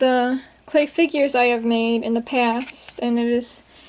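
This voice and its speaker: Speaking at a moderate pace, a woman uses high pitch and fairly even intonation. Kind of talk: casual talk to camera. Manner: hesitant, many fillers.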